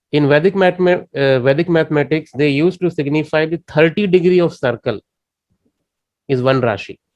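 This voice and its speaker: Fairly high-pitched male speech in an Indian accent, fairly quick, with ordinary pitch variation and a dry, close sound free of echo. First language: Indian language. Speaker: astrology teacher. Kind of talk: lecture. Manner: halting.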